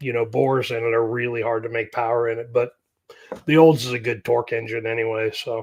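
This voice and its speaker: A man with an American accent speaks very fast in a somewhat breathy voice. His intonation is monotone and flat. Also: medium pitch for a man. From US Great Plains. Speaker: carburetor mechanic and YouTuber. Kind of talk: live stream Q&A. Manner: casual, rambling with fillers.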